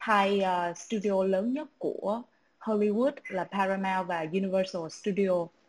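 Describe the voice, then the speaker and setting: Very slowly, a woman speaks at a medium pitch. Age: 20s. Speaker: startup founder in music marketing. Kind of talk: online panel discussion.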